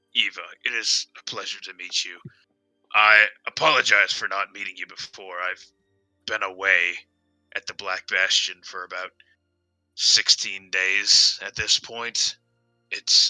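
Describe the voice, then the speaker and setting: Doing a put-on character voice, a man speaks in a raspy, fairly low register with long, frequent pauses while music plays in the background. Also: moderate pace. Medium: actual play. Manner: formal, halting.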